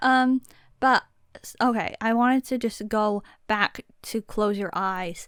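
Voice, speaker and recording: Soft-spoken delivery at a fairly slow pace, with long, frequent pauses, big swings in loudness and fairly even intonation, on a very clean recording with a silent background and a dry, close sound with no echo. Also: woman, fairly high pitch for a woman. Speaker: podcast co-host. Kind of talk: casual chat.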